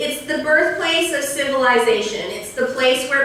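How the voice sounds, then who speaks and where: Room echo is audible and background noise is noticeable. A woman speaks loudly with fairly even intonation. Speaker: history professor. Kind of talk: lecture. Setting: lecture hall with audience, on a mic. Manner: casual, with fillers.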